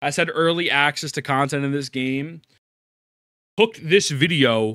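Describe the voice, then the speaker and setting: Speaking at a moderate pace, a man with a fairly high pitch sounds bright, sharp and animated, with ordinary pitch variation on a very clean recording against a silent background. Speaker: streamer reacting to videos. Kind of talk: live stream reaction commentary.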